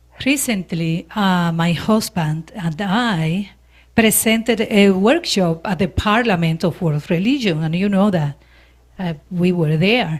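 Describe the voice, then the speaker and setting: A woman with a Spanish accent speaks at a medium pitch and a fairly slow pace, her voice somewhat breathy on a very clean recording with a silent background. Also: ordinary pitch variation. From Dominican Republic / Puerto Rico. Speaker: minister. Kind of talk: sermon. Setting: church service with audience.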